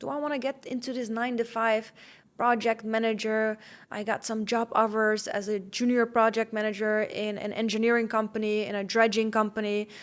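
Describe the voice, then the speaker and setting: A woman's fairly high, monotone, flat voice with a slight Dutch accent, on a very clean recording with a silent background. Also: fairly quick pace. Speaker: podcast host, fitness coach. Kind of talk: podcast monologue.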